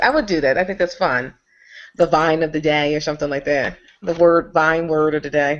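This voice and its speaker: A woman with a very deep, low pitch speaks at a fairly quick pace with ordinary pitch variation against a quiet background. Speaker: video blogger hosting a group hangout. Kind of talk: casual group chat. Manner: fast.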